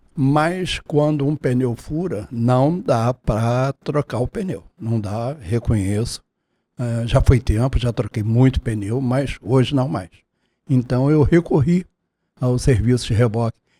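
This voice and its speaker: On a very clean, dry, close recording with a silent background and no echo, a man with a dark, mellow tone talks very slowly at a medium pitch with ordinary pitch variation. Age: 70s. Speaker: taxi driver. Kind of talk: testimony. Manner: formal.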